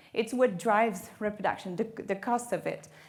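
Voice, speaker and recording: Speaking at a fairly high pitch with fairly even intonation, a woman has a French Canadian accent. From Quebec, Canada. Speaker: marine biologist. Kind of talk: lecture.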